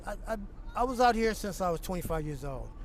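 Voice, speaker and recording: Intonation stays fairly even. Room echo can be heard. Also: man. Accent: American. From California. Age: 60s. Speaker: homeless man. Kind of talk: street interview.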